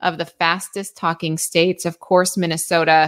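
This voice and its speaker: Her tone upbeat, a woman talks on a very clean recording with a silent background. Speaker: weather forecaster podcast host. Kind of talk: weather forecast briefing. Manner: upbeat, friendly.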